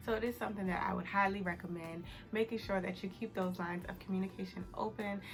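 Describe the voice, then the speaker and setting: Against noticeable background noise, a soft-spoken woman whispers at a very fast pace. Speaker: accounting youtuber. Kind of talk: casual advice vlog. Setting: home, early morning. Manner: whispering, soft.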